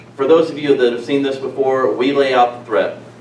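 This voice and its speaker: Noticeable background noise and audible room echo surround the speaker. He is a man at medium pitch. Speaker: national security consultant, speaker. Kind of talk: public presentation. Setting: live audience in a hall. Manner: soft-spoken.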